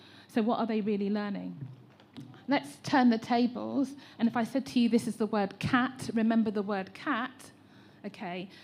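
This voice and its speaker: Somewhat breathy, a woman with an English accent speaks at a moderate pace with ordinary pitch variation. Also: fairly high pitch for a woman. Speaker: teacher trainer. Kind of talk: public consultation comment.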